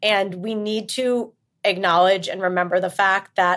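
Against a very clean recording with a silent background, a woman with an American accent uses an ordinary speaking voice at a medium pitch with fairly even intonation. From New York area. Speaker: marketing executive. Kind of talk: interview. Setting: podcast recording.

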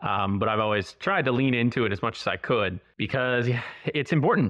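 A fairly quick pace carries a plain, everyday voice. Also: man. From Ontario, Canada. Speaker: product marketing expert. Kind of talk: casual interview chat.

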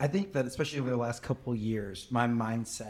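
Speaking fairly quickly, a man with a medium pitch and fairly even intonation has an unremarkable speaking voice. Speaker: podcast co-host. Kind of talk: interview conversation.

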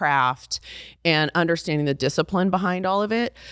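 In a very clean recording with a silent background, a woman with an American accent uses a normal speaking voice, fairly low in pitch, with lively intonation. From Texas (Fort Worth), high school in Brussels. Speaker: beauty brand founder. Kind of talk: interview.

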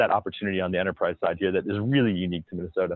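A man talking at a very fast pace with ordinary pitch variation. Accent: American. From South Florida. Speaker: entrepreneur and investor. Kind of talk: casual interview.

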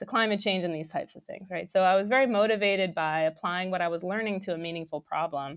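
A woman's medium-pitched voice with an American accent, a very fast pace, ordinary pitch variation and hardly any pauses. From New York. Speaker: research director, materials scientist. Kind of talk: interview. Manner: animated.

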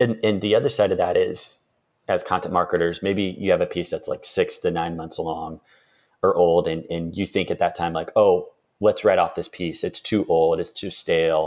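Over a quiet background, a man with a slight Midwestern accent talks at a moderate pace. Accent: slight rural Midwestern. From rural Indiana. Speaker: marketer. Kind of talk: podcast interview.

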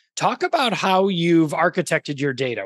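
A man with a normal speaking voice talks at a fairly quick pace with ordinary pitch variation, in a dry, close sound with no echo. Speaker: podcast host. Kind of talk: casual interview chat.

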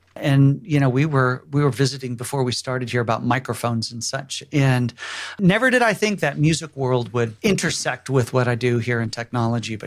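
This man talks at a fairly quick pace and a medium pitch. He has an unremarkable speaking voice with ordinary pitch variation. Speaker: technology evangelist. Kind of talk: casual interview chat.

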